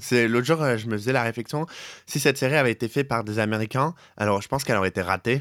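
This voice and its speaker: At a very fast pace, a man speaks at medium pitch with ordinary pitch variation, the sound dry and close with no echo. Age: 20s. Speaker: podcast co-host. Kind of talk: casual chat. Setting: Skype call.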